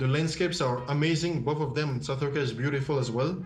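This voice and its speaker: Fairly even intonation in a strong French accent, with music in the background. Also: man. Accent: heavy French. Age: 20s. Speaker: filmmaker and photographer. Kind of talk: TV interview answer via video call. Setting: video call. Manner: hesitant, many fillers.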